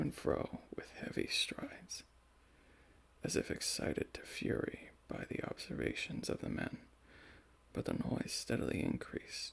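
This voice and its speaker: Whispering at a fairly slow pace over noticeable background noise. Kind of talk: ASMR story reading. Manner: soft-spoken.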